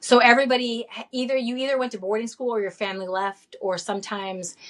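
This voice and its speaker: With ordinary pitch variation, a woman's words pour out at a very fast pace. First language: Greek. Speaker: teacher and birth doula. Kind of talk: interview.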